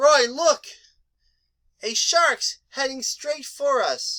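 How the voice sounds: In a cartoonish character voice, a woman speaks very slowly at a high pitch.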